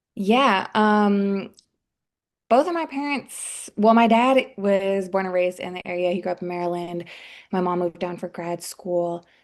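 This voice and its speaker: A woman with a plain, everyday voice speaks at a moderate pace and medium pitch, with ordinary pitch variation over a quiet background. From Washington, D.C., US East Coast. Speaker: public health professional and personal trainer. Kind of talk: podcast interview.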